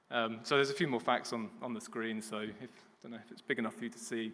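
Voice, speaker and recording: A bright, sharp voice with a British accent races along at a very fast pace. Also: man. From Britain. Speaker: business development manager. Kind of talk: conference presentation. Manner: hesitant.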